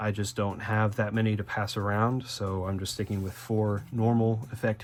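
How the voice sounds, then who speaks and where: Fairly low in pitch, a man speaks in a monotone, flat intonation. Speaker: card game YouTuber. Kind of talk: deck profile tutorial. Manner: stuttering, many filler words; casual, conversational.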